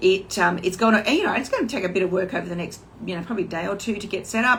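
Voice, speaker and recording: Talking at a very fast pace, a woman with an Australian accent speaks at medium pitch. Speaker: online business coach. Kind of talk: casual livestream talk. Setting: Instagram live video. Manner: hesitant, many fillers.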